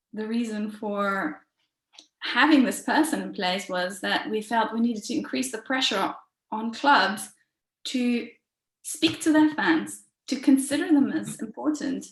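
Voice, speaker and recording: A woman with a fairly high pitch and vocal fry speaks at a fairly slow pace, her intonation lively and her pauses long and frequent. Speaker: football supporters' organisation representative. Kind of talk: online workshop presentation.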